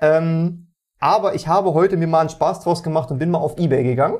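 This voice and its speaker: This man has a plain, everyday voice at a fairly high pitch. He talks at a fairly quick pace. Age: 20s. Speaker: games journalist and podcast co-host. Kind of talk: casual chat.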